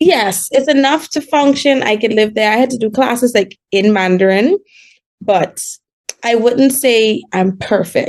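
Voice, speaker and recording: The woman has an American accent and a fairly high pitch. Her intonation is lively. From Bahamas. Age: 20s. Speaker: diabetes patient guest, works in China. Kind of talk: casual chat. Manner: fast.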